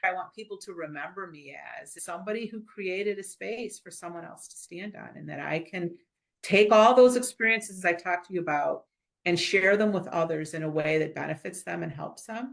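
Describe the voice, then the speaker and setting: Vocal fry runs through a woman's medium-pitched voice, which has ordinary pitch variation and big swings in loudness. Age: 60s. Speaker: business leader and board director. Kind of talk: interview.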